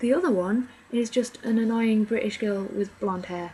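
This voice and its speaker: A quiet woman with an English accent talks at a moderate pace with ordinary pitch variation over noticeable background noise. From England. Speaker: film reviewer. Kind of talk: casual review monologue. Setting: at home, others downstairs. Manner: rambling, hesitant. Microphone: very quiet recording.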